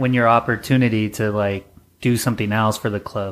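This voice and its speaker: A man in a normal speaking voice talks at a fairly quick pace with medium pitch and fairly even intonation. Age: 30s. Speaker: podcast host. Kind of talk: casual chat.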